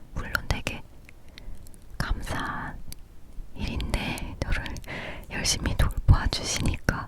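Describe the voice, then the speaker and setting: A woman whispers at a very slow pace, with long, frequent pauses. Noticeable background noise is present. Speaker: ASMR creator. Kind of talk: casual personal story about her illness. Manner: whispering, soft-spoken.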